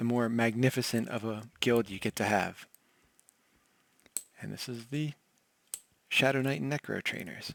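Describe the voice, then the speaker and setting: Soft-spoken delivery at a moderate pace. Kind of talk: soft-spoken ASMR game tour narration.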